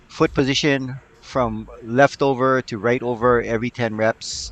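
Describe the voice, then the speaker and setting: A man's medium-pitched voice with fairly even intonation over music in the background. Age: 60s. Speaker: fitness vlogger. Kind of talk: casual workout vlog. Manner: halting, many fillers.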